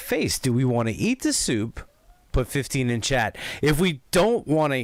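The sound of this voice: The reading is done in an unforced voice. That voice carries the whole clip.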